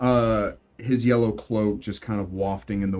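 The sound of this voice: The delivery is an unforced reading voice. Its intonation remains fairly even.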